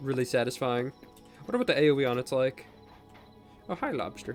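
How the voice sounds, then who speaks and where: Music runs behind a man speaking at a moderate pace. His pitch sits in the middle range, and his intonation stays fairly even. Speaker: gaming content creator. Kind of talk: casual let's play commentary.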